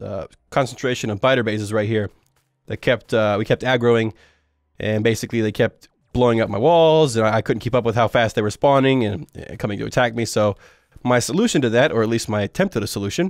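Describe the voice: A man speaks at a fairly quick pace in a nasal voice, on a very clean recording with a silent background. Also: fairly low pitch for a man, ordinary pitch variation.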